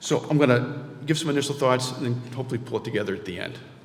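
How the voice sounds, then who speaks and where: Over noticeable background noise and audible room echo, a man speaks at a very fast pace, medium in pitch, with fairly even intonation. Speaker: award honoree. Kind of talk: award acceptance speech. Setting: stage with audience. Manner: halting.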